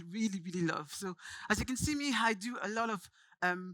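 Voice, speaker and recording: A woman speaks in a medium pitch with a bright, sharp tone and ordinary pitch variation. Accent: French. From France, Paris. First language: French. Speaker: branding agency founder, speaker. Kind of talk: conference talk. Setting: stage with audience.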